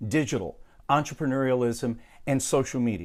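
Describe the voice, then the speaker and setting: A man talks in a plain, everyday voice at a medium pitch. His pace is moderate, and the recording is very clean with a silent background. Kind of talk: video narration.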